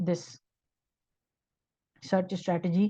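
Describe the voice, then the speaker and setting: Somewhat breathy and dark, mellow in tone, a woman's voice sits at a medium pitch. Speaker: research methods instructor. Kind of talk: live online tutorial. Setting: Zoom video call.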